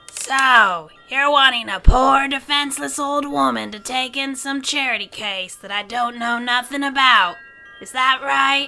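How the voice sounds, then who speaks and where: Using a put-on character voice, a female-sounding voice speaks high-pitched at a moderate pace. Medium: audio drama. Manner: blunt, crotchety.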